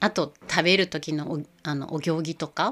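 Her pitch is very deep and low for a woman, and she speaks at a moderate pace. The recording is very clean, the background silent. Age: 40s. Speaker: podcast host, yoga and Ayurveda community organizer. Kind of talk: casual monologue. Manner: halting, many fillers.

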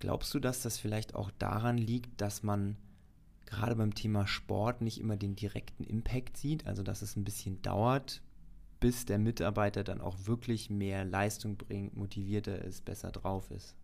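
Speaking at a fairly low pitch, a man keeps fairly even intonation and a fairly slow pace. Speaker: podcast host. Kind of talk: casual chat.

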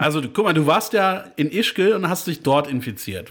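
This man has a fairly high voice, and his pitch swings very widely. He talks at a moderate pace. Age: 30s. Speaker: podcast co-host. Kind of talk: casual chat.

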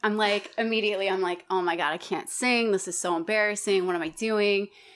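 A woman in an ordinary speaking voice, medium-pitched, with an American accent. Her intonation stays fairly even at a fairly quick pace, on a very clean recording with a silent background. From Colorado and Wyoming, US. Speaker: singer and musician. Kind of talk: casual interview chat.

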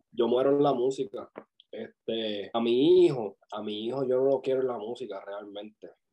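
A man's plain, everyday voice at a medium pitch and moderate pace, with ordinary pitch variation and big swings in loudness. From Puerto Rico, Vega Baja countryside. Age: 20s. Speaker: videographer and music video producer. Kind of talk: interview.

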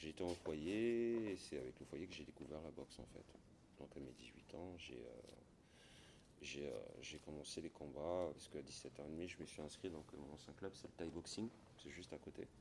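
With vocal fry and a very deep, low pitch, a man speaks fairly slowly with ordinary pitch variation. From Gabon. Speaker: former pro Muay Thai boxer and gym owner. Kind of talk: interview. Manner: hesitant, repeats words.

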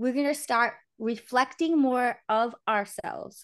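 Against a quiet background, a woman speaks in a high voice with ordinary pitch variation. Her tone is animated. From Portuguese family background. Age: 30s. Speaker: podcast co-host. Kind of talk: casual chat. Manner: animated, laughing often.

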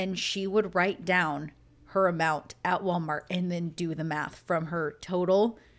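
A woman talks at a fairly slow pace with a normal speaking voice. Her pitch is fairly low, with fairly even intonation. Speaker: podcast host. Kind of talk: casual chat. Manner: sarcastic, chatty.

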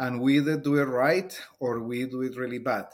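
A man speaks with a Spanish accent at a fairly slow pace. The recording is very clean, with a silent background. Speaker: Spanish teacher. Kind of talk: casual interview chat.

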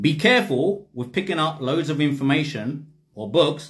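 Somewhat breathy, the voice carries. Its intonation is lively. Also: man. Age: 40s. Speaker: spiritual teacher. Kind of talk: livestream talk.

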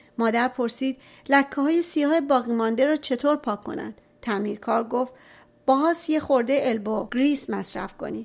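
A woman's high-pitched voice at a moderate pace with ordinary pitch variation, on a very clean recording with a silent background. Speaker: audiobook narrator. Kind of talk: reading aloud.

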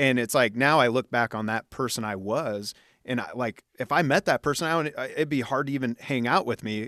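At a fairly quick pace, a normal speaking voice with ordinary pitch variation comes through a very clean recording with a silent background and a dry, close sound with no echo. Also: man. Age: 40s. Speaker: podcast host and musician. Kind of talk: casual chat.

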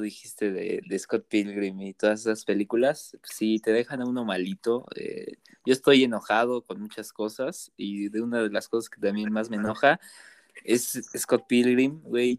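In a very clean recording with a silent background and a dry, close sound with no echo, a man with a Mexican accent speaks at medium pitch, fairly slowly and with fairly even intonation. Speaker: podcast co-host. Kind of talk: casual chat.

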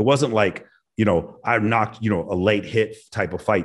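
A man speaks at a moderate pace with a fairly low pitch and ordinary pitch variation. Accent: American. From Texas, Dallas. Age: 40s. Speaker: former air force officer, podcaster. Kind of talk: casual chat. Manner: confident.

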